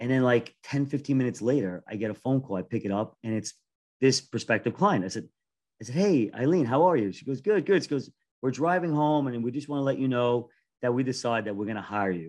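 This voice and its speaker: Someone with an American accent talks at a very fast pace with lively intonation against a quiet background. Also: man, medium pitch for a man. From New York. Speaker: podcast host, wealth manager. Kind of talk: interview.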